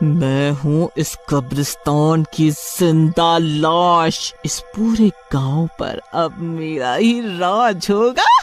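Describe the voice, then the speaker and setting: Set against clear music in the background, a cartoonish character voice at a middle pitch speaks at a very slow pace. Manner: menacing, gloating.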